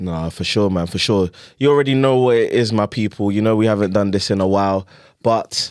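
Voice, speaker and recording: A man talks at a fairly quick pace with a Nigerian accent. The recording is very clean, with a silent background. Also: fairly low pitch for a man, ordinary pitch variation. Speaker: podcast host. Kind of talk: casual chat. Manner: animated.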